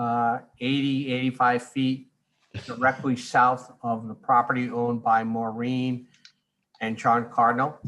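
A man's fairly slow, monotone delivery with a Rhode Island accent, medium in pitch, flat in intonation and bright, sharp in tone. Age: 60s. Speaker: neighbor giving public comment. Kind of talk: public comment.

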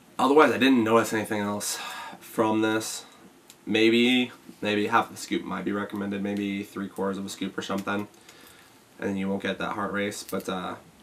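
A man speaks in an ordinary speaking voice with fairly low pitch. His pace is moderate and his intonation fairly even. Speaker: fitness supplement reviewer. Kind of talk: casual vlog chat. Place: home room.

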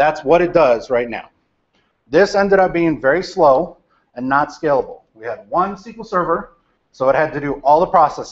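Against a quiet background, a man speaks at a fairly quick pace. His pitch is fairly high and his intonation lively. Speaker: data architect. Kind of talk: lecture to a university class. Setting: large lecture hall. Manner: loud, projecting. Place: classroom.

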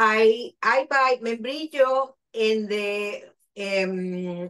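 A woman with a Spanish accent against a quiet background. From Argentina. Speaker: chef and caterer. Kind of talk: cooking demonstration. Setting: video call. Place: kitchen. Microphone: video call.

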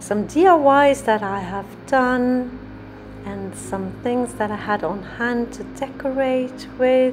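Music plays behind a woman who speaks at a very slow pace with ordinary pitch variation. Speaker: home DIY creator. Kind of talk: room tour narration. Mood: calm, proud. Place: bathroom. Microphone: phone near.

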